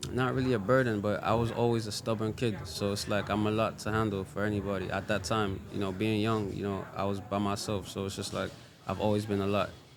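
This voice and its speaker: Over music in the background and audible room echo, a man talks very fast in a monotone, flat intonation. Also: fairly low pitch for a man. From Sierra Leone, West Africa. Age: 20s. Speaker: Afrobeats artist. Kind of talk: casual interview. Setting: restaurant.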